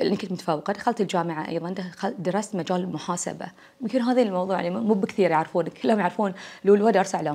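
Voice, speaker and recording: Speaking at a fairly quick pace with a Bahraini accent, a woman uses a dark, mellow tone and ordinary pitch variation. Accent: Bahraini Gulf Arabic. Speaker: university lecturer and academic. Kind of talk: casual interview. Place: home room.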